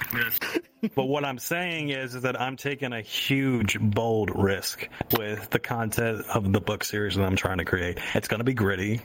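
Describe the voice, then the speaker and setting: With noticeable background noise behind him, a man speaks at a fairly slow pace, hardly pausing, and his pitch varies in an ordinary way. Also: medium pitch for a man. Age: 20s. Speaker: podcast host and writer. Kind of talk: casual chat.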